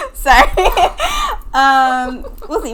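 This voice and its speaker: A woman with a high voice swings her pitch very widely, with audible room echo and noticeable background noise. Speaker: podcast co-host. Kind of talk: casual chat. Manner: soft-spoken. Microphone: far from the mic, too quiet.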